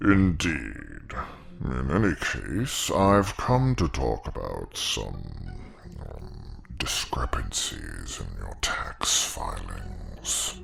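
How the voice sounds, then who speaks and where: Whispering in a put-on character voice, a man speaks at a very slow pace over clear background noise. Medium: audio drama. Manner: measured, formal.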